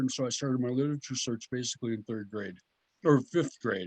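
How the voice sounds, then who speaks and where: Heard here is a plain, everyday voice whose pitch varies in an ordinary way. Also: man. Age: 60s. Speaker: herpetologist and biologist. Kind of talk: casual interview chat.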